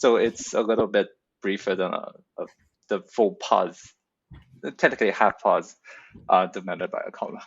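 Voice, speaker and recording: With a Chinese accent, a man talks at a moderate pace, leaving long, frequent pauses. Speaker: poet in workshop. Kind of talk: workshop discussion. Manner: hesitant, many fillers.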